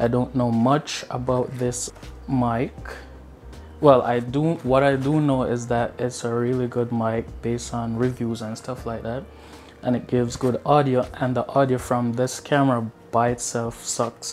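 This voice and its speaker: A man talks at a fairly slow pace in a monotone, flat intonation. Faint music plays in the background. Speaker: vlogger. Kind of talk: casual unboxing vlog chat. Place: home room. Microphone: lapel.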